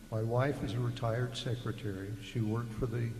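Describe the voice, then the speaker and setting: Over noticeable background noise and audible room echo, a man of medium pitch talks at a fairly quick pace. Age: 70s. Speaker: retired engineer, resident speaking at public meeting. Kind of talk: public comment. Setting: public meeting.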